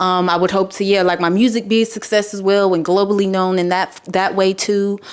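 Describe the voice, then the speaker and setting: Intonation is monotone and flat, with an American accent. Background noise is noticeable. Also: woman, medium pitch for a woman, fairly quick pace. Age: 20s. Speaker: musician. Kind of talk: interview. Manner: casual.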